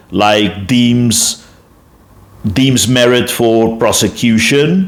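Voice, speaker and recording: Speaking at a very slow pace, a man with a South African accent shows ordinary pitch variation. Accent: Afrikaans-accented English, noticeable. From South Africa, Afrikaner. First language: Afrikaans. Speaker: YouTube commentator. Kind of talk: casual explanatory monologue. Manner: halting, many fillers and self-corrections.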